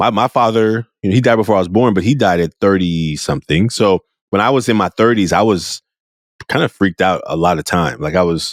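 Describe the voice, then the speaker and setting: In a very clean recording with a silent background and a dry, close sound with no echo, a man with an American accent talks at a fairly quick pace in a fairly low voice, with ordinary pitch variation and very even loudness. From US, Oakland California. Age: 40s. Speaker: podcast host. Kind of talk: podcast interview.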